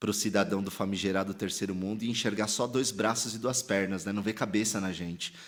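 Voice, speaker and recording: A man speaks with a São Paulo accent at a fairly low pitch and moderate pace. His intonation is fairly even, and the recording is very clean with a silent background. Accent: Paulistano. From São Paulo, Brazil (Sacomã, south zone). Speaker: pastor and theologian. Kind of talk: podcast interview. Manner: casual slangy.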